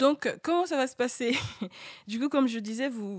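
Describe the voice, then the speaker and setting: Moderate speed and ordinary pitch movement in a normal speaking voice. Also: woman, very clean recording, silent background. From French-speaking Africa. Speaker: radio panelist. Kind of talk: radio discussion.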